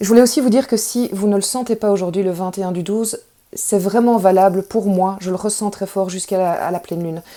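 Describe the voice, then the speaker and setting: With a dark, mellow tone at medium pitch, a woman talks at a fairly quick pace and fairly even intonation. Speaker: tarot reader. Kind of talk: spiritual guidance talk.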